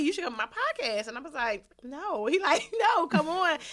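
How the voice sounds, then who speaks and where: Speaking at a very fast pace in a raised, projected voice, a woman sounds animated, her pitch swinging very widely. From Philadelphia, US. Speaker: podcast host. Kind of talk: casual interview chat.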